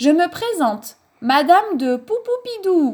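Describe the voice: A woman does a put-on character voice with a slightly mellow tone at an extremely high pitch. She talks at a slow pace with big pitch swings.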